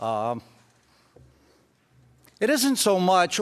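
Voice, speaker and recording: An American-accented man speaks in a passionate tone at a high pitch. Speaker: state senator. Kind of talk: legislative floor speech, impassioned. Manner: passionate, raised voice, indignant.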